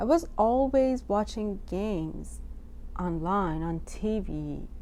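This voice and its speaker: A woman talks very slowly, her voice carrying audible room echo. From Iran, Tehran. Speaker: artist. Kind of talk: artist talk about own work. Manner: halting.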